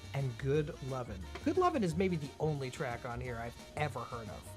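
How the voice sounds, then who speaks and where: The speech is at a moderate pace, with music in the background. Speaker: radio show host. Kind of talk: casual radio talk show banter.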